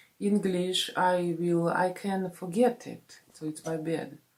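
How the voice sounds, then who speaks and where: A woman with a Russian accent and a fairly low pitch. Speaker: vlogger. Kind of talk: casual vlog talk. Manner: halting, many fillers.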